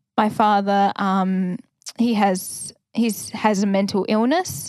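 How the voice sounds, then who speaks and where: With an Australian accent, the speaker talks at a very slow pace with ordinary pitch variation, in a very clean recording with a silent background and a dry, close sound with no echo. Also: woman. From Australia, Victoria (Ballarat). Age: 20s. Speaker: first-year officer cadet. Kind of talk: casual interview. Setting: prayer room at a training college.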